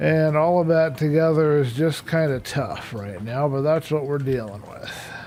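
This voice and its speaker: A soft-spoken man talks at a moderate pace with hardly any pauses, his pitch fairly high and its variation ordinary. Noticeable background noise sits behind him. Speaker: gaming streamer. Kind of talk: casual live stream commentary. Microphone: microphone far away, too quiet.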